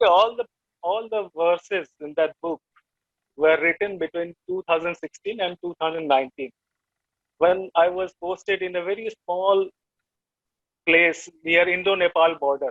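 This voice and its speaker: In an Indian accent, a man with a high pitch speaks with fairly even intonation and long, frequent pauses. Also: moderate pace. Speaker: poet. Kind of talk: interview. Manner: halting.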